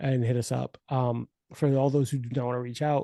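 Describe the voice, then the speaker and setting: In a dry, close recording with no echo and a quiet background, a man speaks in a dark, mellow tone. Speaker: podcast host. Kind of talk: casual chat. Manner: fast; animated.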